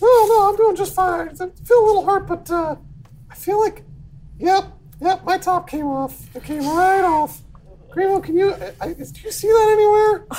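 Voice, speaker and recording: A squeaky, female-sounding put-on character voice speaks at a moderate pace with an extremely high pitch. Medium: actual play. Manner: breezy, unbothered.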